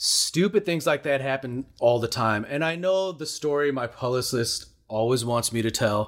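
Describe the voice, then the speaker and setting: A man with a Chicago accent talks at a moderate pace with hardly any pauses, his medium-pitched voice showing lively intonation. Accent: Chicago American. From US Midwest, Chicago. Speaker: musician and cooking show host. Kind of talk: storytelling interview.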